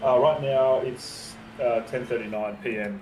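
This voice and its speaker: A man with an Australian accent speaks at a medium pitch and a fairly slow pace, his intonation fairly even. There is audible room echo and noticeable background noise. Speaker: sim racing driver and streamer. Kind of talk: casual chat.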